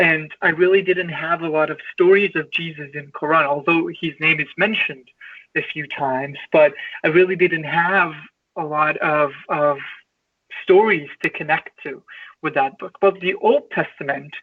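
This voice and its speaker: With an Iranian accent, a man talks at a moderate pace in a high voice, his intonation fairly even. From Iran (Tehran). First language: Farsi. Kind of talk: interview, personal life story. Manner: halting, many repetitions and fillers.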